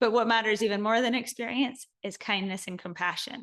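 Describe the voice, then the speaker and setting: The background is quiet as a woman talks at a moderate pace. Her pitch is fairly high, with ordinary variation. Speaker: spiritual course teacher. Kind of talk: online course lecture. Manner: animated.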